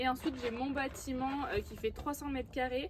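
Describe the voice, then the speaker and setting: A high-pitched woman's voice comes through with noticeable background noise behind it. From southwest France, Landes. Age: 20s. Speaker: riding instructor and horse breeder. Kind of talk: casual Q&A vlog. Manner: hesitant, many fillers.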